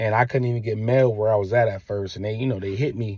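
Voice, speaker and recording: Somewhat breathy, a man speaks at a very fast pace with fairly even intonation. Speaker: father vlogger, military veteran. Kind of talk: casual monologue to viewers. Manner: halting.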